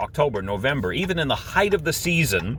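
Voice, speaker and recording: The speaker's pitch swings very widely at a fairly quick pace. Noticeable background noise runs underneath. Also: man. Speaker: RV camping vlogger. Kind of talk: casual vlog monologue. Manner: loud; animated.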